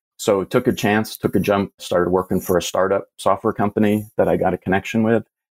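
Using an ordinary speaking voice, a man talks at a fairly quick pace with hardly any pauses, a fairly low pitch and fairly even intonation, in a dry, close sound with no echo. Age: 50s. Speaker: IT professional and passive investor. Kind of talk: casual interview.

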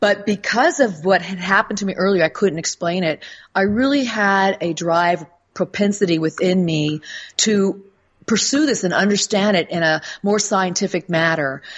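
A woman's ordinary speaking voice at medium pitch, with ordinary pitch variation and a moderate pace. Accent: American. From United States. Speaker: author and spirit communicator. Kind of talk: casual interview.

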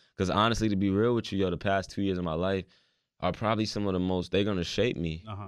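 A man with a fairly low pitch talks at a very fast pace, keeping his intonation fairly even. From Raleigh, North Carolina. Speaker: rapper. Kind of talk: casual interview. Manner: casual, slangy, repetitive fillers.

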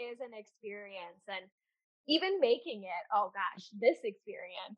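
In an American accent, the speaker's pitch swings very widely and the loudness shifts a lot, with long, frequent pauses. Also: woman. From Seattle area, US. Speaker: candle business owner and teacher. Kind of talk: casual interview chat.

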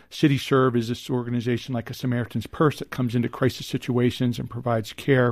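A man at medium pitch, talking very fast with hardly any pauses, in a flat monotone. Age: 50s. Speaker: psychiatrist. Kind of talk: interview.

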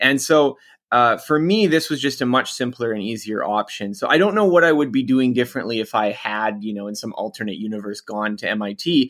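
Speaking in a plain, everyday voice with a Canadian accent, a man at medium pitch uses lively intonation and a fairly quick pace with hardly any pauses. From Canada. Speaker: author. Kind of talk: interview.

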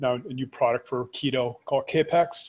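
A man speaks in a somewhat breathy voice at a fairly high pitch. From Canada. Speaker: supplement company founder. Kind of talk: interview.

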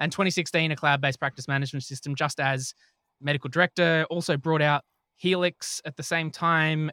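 In a very clean recording with a silent background and a dry, close sound with no echo, a man with an Australian accent speaks at a fairly quick pace and fairly high pitch, bright and sharp in tone, with monotone, flat intonation. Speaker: podcast host and health tech company director. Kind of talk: casual chat.

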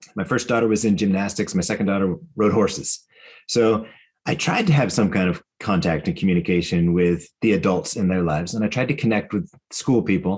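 A man with a plain, everyday voice speaks at a fairly quick pace, with ordinary pitch variation and very even loudness. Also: fairly low pitch for a man. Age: 50s. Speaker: author and educator. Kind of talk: interview.

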